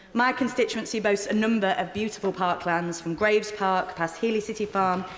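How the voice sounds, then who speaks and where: The speaker, with a Yorkshire accent, talks at a fairly quick pace with ordinary pitch variation. Noticeable background noise runs underneath. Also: woman. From northern England, Sheffield. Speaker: member of parliament. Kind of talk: parliamentary speech. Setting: parliament chamber. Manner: formal.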